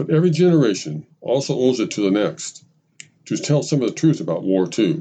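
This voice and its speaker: Fairly quick speech from a man at a medium pitch, with a dark, mellow tone, vocal fry and very wide pitch swings. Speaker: podcast narrator. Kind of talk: scripted narration of a personal anecdote, with quoted dialogue from an old veteran. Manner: measured, reflective storytelling.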